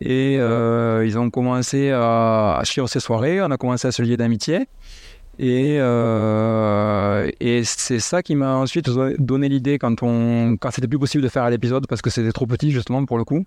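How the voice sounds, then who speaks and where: A man talks at a fairly slow pace in a medium pitch with ordinary pitch variation. His loudness stays very even over a quiet background. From southern France, Montauban. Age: 40s. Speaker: house DJ and event organizer. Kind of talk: interview. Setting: host's living room.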